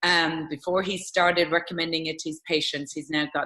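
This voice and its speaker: In an Irish accent, a woman with a very deep, low pitch speaks at a fairly quick pace in a monotone, flat delivery. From Ireland. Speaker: interviewer, network marketing distributor. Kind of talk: interview.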